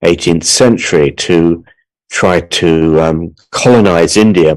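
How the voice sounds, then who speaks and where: Very slow and very deep, a man with an English accent talks at a low pitch with ordinary pitch variation. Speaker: artist and speaker. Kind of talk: conference talk. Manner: halting.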